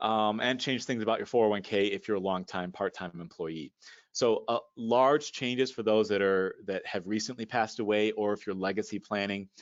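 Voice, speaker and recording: This man's voice sits fairly low in pitch, and he speaks with hardly any pauses. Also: fairly even intonation. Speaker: financial advisor. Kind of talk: presentation. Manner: fast.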